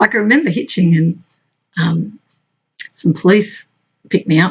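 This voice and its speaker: Somewhat breathy and with lively intonation, a woman talks in an Australian accent. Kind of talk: casual talk to camera. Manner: chatty, conversational.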